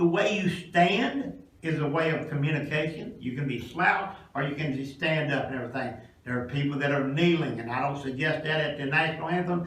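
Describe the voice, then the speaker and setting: A man with a Kentucky accent and a fairly high pitch, ordinary pitch variation, a fairly quick pace and hardly any pauses, with audible room echo and noticeable background noise. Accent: Southern US (Kentucky). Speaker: pastor presenting a career class to students. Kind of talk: classroom presentation. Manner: passionate, rising pitch.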